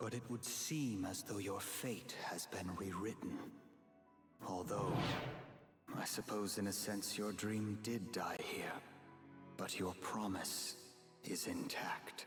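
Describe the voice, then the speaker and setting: A man does a cartoonish character voice at a fairly low pitch, with fairly even intonation and very even loudness. He moves at a fairly slow pace with long, frequent pauses as clear music plays in the background. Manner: measured, formal.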